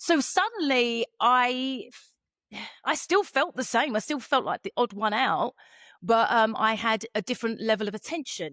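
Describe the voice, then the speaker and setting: Against a quiet background with a dry, close sound and no echo, a woman with a British accent speaks at a moderate pace in a high pitch, her tone animated, bright and sharp and her intonation lively. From England, Essex (born East London). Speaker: podcast host. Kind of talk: casual interview chat.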